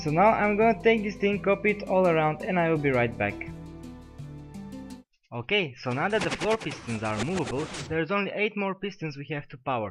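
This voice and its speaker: A robotic male voice, high for a man, at a fairly quick pace with very wide pitch swings, long, frequent pauses and music in the background. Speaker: game tutorial maker. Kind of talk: game tutorial narration. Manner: mechanical-sounding.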